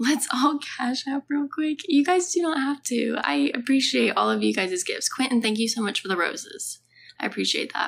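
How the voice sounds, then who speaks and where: At a moderate pace, a woman speaks high in pitch with very wide pitch swings. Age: 20s. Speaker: livestreamer. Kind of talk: casual chat. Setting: lying down at home with her dog. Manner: animated. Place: home room. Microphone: phone near.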